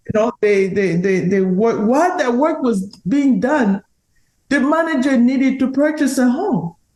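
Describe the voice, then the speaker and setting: A woman with a high voice and a dark, mellow tone speaks fairly slowly in a strong non-native accent, her pitch swinging very widely while her loudness stays very even. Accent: strong foreign. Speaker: real estate agent. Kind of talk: podcast interview.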